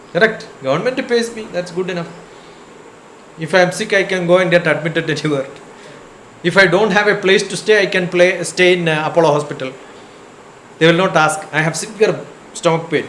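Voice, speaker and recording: Over noticeable background noise, a high-pitched man talks at a fairly quick pace, broken by long, frequent pauses. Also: ordinary pitch variation. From India, Kerala. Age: 60s. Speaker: spiritual speaker, retired scientist. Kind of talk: satsang talk. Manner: conversational, rhetorical questions.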